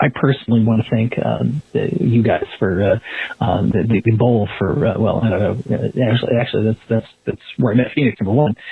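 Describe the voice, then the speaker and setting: Moderately paced male speech, mid-range in pitch, its pitch varying in an ordinary way amid noticeable background noise. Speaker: listener leaving voicemail. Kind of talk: voicemail message. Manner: halting.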